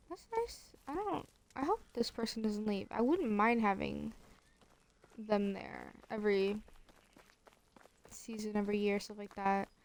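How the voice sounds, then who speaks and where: Quiet and fairly slow, a woman speaks with long, frequent pauses and big swings in loudness. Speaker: gaming streamer. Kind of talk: gameplay commentary. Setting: at home. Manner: casual, hesitant with fillers.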